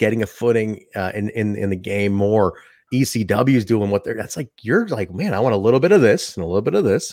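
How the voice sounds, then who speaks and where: A man talks fairly quickly in a normal speaking voice, fairly low in pitch with ordinary pitch variation. The recording is very clean, with a silent background. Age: 30s. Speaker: wrestling podcaster, indie wrestling worker. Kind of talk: casual chat.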